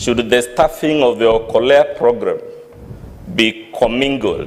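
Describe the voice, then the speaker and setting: A man speaks very slowly against noticeable background noise. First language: not English. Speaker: lawyer cross-examining witness. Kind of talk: cross-examination at impeachment hearing. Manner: formal.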